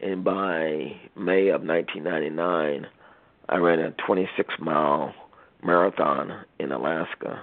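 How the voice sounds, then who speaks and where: With an American accent, a man speaks very slowly in a very deep, low voice and fairly even intonation. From US Midwest, Cincinnati, Ohio. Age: 50s. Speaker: leukemia survivor. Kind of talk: interview. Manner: halting.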